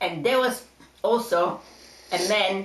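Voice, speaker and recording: Noticeable background noise sits behind a woman speaking in a fairly high pitch with lively intonation. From Poland. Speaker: Holocaust survivor. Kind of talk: testimony.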